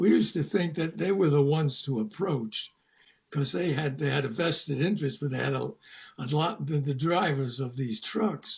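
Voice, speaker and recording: With vocal fry, a man speaks at a moderate pace in a fairly high pitch and lively intonation. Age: 80s+. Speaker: founder of a vegan community, longtime activist. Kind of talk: interview.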